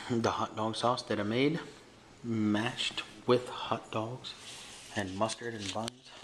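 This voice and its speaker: At a very slow pace with long, frequent pauses, a man of medium pitch speaks with an American accent over noticeable background noise. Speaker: vlogger. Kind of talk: casual vlog. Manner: animated.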